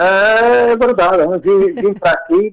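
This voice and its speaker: With a strong Alentejo accent, a man speaks at a high pitch and fairly slow pace with lively intonation, in a dry, close sound with no echo. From Portugal, Alentejo (Beja). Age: 80s+. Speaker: fado singer. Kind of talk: radio interview. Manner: halting.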